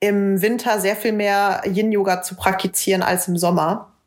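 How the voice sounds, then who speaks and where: At a fairly slow pace, a woman speaks at medium pitch with a monotone, flat intonation. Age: 20s. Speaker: podcast co-host, yoga teacher. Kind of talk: casual chat.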